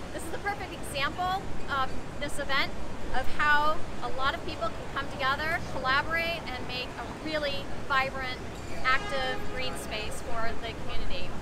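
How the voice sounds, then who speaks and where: Loud background noise fills the recording. Over it, a woman talks with ordinary pitch variation. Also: moderate pace. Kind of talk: interview answer. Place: street. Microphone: camera far.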